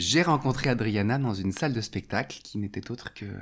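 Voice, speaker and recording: The speaker is a man with a medium pitch. His intonation shows ordinary pitch variation. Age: 40s. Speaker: theatre and clown teacher. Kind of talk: testimony. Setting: at home. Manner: halting.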